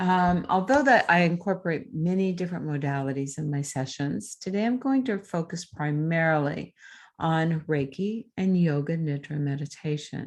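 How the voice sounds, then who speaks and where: A woman speaks in a plain, everyday voice, fairly low in pitch, at a moderate pace. Her intonation is lively, and the background is quiet. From United States, Arizona (raised in Idaho). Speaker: Reiki master and integrative healing practitioner. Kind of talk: casual talk to camera, informational presentation. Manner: friendly, conversational.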